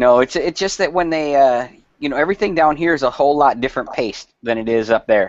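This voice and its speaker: With a northern US accent, a man talks at a very fast pace in a fairly high pitch with lively intonation. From Wisconsin / Minnesota. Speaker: company representative. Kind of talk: casual chat. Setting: video call.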